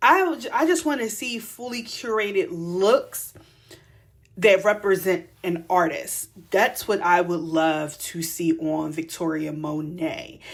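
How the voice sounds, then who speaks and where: A woman in a Philadelphia accent, medium in pitch, fairly slow, with lively intonation. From Philadelphia, US. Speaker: fashion stylist and podcast host. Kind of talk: casual commentary monologue. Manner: casual, conversational.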